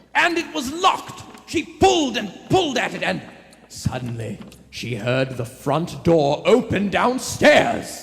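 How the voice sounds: A man's high, put-on character voice with vocal fry and very wide pitch swings, slow and with few pauses, over faint music in the background. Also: fairly bright tone.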